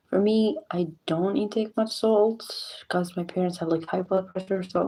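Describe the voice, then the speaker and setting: A woman is whispering at a fairly slow pace. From Morocco. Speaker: streamer. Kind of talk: live stream chat. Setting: home at night, live stream.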